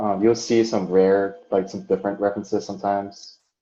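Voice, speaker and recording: Fairly low in pitch, a man speaks with a dark, mellow tone. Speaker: accounting staff training coworkers. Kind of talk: work training walkthrough. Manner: monotone.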